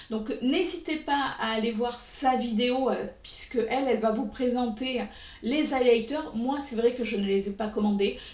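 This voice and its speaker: A woman talks at a fairly slow pace with a high pitch. Noticeable background noise and audible room echo surround her voice. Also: ordinary pitch variation. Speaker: beauty YouTuber. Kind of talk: makeup review vlog. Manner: hesitant, many filler sounds.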